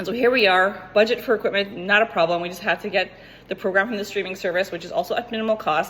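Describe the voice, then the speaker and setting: A woman speaks at a medium pitch in an animated tone. Her pace is very fast. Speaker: fitness coach. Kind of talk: tutorial.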